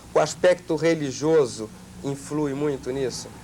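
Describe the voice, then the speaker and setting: Over noticeable background noise, a man with a fairly high pitch speaks at a very slow pace. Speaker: TV interviewer. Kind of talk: TV talk show interview.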